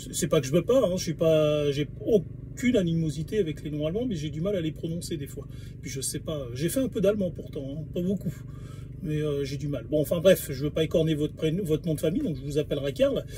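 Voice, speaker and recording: Over noticeable background noise, a man with a fairly high voice speaks at a fairly quick pace with ordinary pitch variation. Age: 40s. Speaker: video blogger. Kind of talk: monologue video response. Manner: halting, many hesitations.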